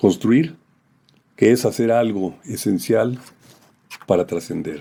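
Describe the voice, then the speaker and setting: A man with medium pitch talks at a very slow pace with lively intonation. His tone is dark and mellow, with vocal fry. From Mexico, Aguascalientes. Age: 70s. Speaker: poet. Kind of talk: autobiographical reflection. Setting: at home. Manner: formal.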